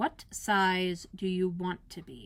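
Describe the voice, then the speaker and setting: A woman performs a put-on character voice at a medium pitch with monotone, flat intonation. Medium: read story. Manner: curt, contrary.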